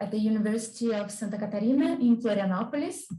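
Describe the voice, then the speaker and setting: Her fairly high-pitched voice is somewhat breathy, and this woman has a dark, mellow tone. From Brazil. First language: Portuguese. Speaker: doctoral student, researcher. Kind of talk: conference talk.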